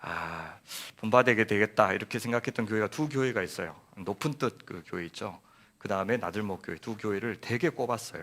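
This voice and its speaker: A man speaks at a fairly low pitch and a fairly quick pace. His pitch varies in an ordinary way. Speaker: guest pastor. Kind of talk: sermon.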